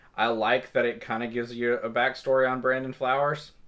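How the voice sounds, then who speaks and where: At a moderate pace, a man talks at a medium pitch. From Kentucky, small town. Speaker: music reviewer. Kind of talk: album review monologue. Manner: halting, many fillers.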